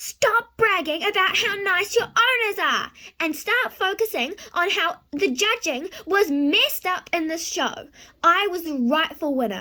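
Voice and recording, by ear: A loud, put-on character voice with a bright, sharp tone. The intonation is lively. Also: woman, extremely high pitch for a woman, fairly slow pace.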